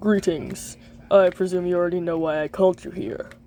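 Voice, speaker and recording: A cartoonish character voice, female-sounding and fairly low in pitch. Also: fairly quick pace. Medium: puppet show. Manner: formal, stiff, dignified.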